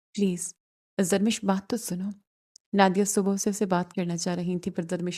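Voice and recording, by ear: Over a quiet background, a natural voice reads aloud.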